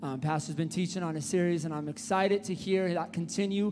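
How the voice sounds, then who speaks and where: A man talks at a fairly quick pace in a high pitch, his tone dark and mellow yet upbeat. Light background noise sits behind him. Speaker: church worship leader. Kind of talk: church announcements. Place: church. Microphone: handheld.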